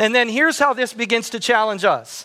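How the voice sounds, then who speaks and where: Raising and projecting his voice, a man speaks in a high pitch with a bright, sharp tone. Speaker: pastor. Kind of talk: sermon. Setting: church.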